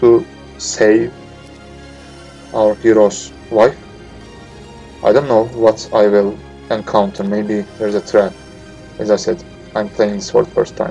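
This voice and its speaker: A man with a non-native accent and a fairly low pitch speaks at a fairly slow pace. Long, frequent pauses break up his words, with music in the background. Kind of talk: game playthrough commentary. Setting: noisy home microphone. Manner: hesitant, many filler words.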